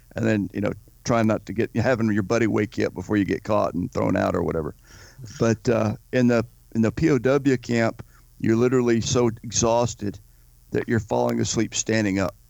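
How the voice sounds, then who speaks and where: With an unremarkable speaking voice, a man talks at a moderate pace and medium pitch, his intonation fairly even and his loudness very even. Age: 50s. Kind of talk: interview.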